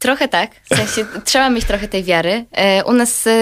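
A plain, everyday voice from a woman, with ordinary pitch variation at a moderate pace, on a very clean recording with a silent background. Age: 20s. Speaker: streamer and startup co-founder. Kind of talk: radio interview.

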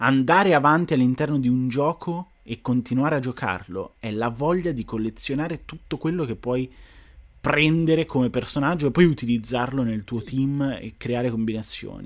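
Moderate pace and medium pitch from a man with an ordinary speaking voice and ordinary pitch variation. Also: very clean recording, silent background. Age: 20s. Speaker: gaming streamer. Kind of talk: casual chat.

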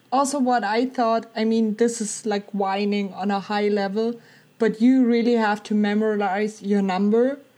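A woman with a German accent speaks in a monotone, flat intonation at a fairly high pitch. Her tone is dark and mellow, and the background is quiet. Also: moderate pace. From Germany. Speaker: theme park enthusiast, former theme park worker. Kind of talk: casual chat. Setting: call.

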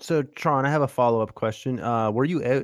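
Here is a man with a normal speaking voice and lively intonation. He talks at a fairly quick pace in a dry, close sound with no echo. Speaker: podcast host. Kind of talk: casual chat.

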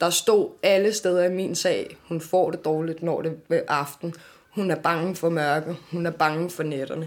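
A woman with a fairly low pitch uses a normal speaking voice, talking at a fairly slow pace with fairly even intonation. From Denmark, Amager (Copenhagen). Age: 20s. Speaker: author and children's advocate. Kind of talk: interview testimony. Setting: café.

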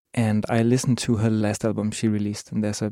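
Monotone, flat intonation in a Danish accent. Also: man. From Copenhagen, Denmark. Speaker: musician. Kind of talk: interview.

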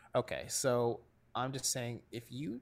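A man's medium-pitched voice with vocal fry, on a very clean recording with a silent background. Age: 20s. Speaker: sports writer and podcaster. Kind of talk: casual chat.

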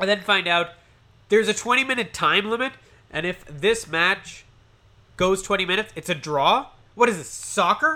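A man speaks in a high, bright, sharp voice, raised and projected, with an animated tone and lively intonation. His pace is moderate, broken by long, frequent pauses. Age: 30s. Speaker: wrestling podcaster. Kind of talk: solo review monologue.

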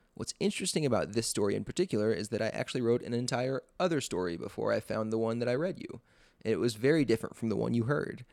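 Unforced, a reading voice.

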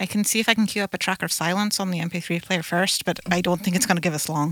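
Here a woman speaks at a fairly low pitch. Her intonation stays fairly even, with vocal fry. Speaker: tabletop roleplaying player. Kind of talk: casual chat.

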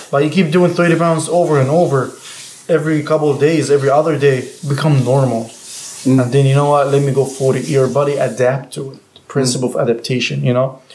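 Over noticeable background noise, a man talks at a fairly quick pace with fairly high pitch and fairly even intonation. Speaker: personal trainer.

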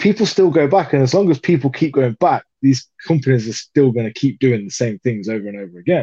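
This man speaks with a British accent. His pitch is medium. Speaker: podcast co-host. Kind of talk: casual chat.

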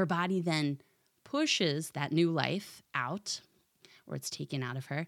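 A woman speaks in a very deep, low pitch with vocal fry and lively intonation, with an American accent. The recording is very clean, with a silent background. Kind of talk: casual religious talk with reading from catechism. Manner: conversational, anecdotal, light.

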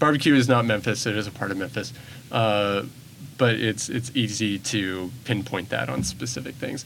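A man's fairly low voice with vocal fry, at a moderate pace with ordinary pitch variation and audible room echo. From Bentonville, Arkansas. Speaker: arts program director. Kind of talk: interview. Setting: studio.

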